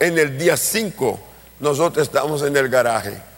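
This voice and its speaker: A man's voice, fairly high in pitch, moves along at a fairly slow pace. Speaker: pastor and missionary. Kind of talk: sermon.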